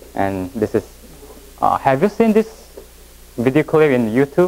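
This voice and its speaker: A man with a Korean accent, fairly high pitch and very wide pitch swings. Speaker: education presenter. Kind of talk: lecture. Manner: halting.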